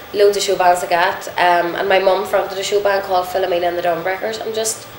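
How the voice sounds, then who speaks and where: Over noticeable background noise and audible room echo, a woman with a Northern Irish accent speaks at medium pitch with fairly even intonation. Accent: Northern Irish, unchanged. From Northern Ireland, Irvinstown, County Fermanagh. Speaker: singer. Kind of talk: interview.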